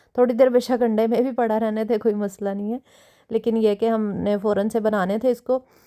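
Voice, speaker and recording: A woman at a moderate pace, monotone and flat in intonation. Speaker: cooking vlogger. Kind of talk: cooking tutorial. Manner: chatty, with many fillers.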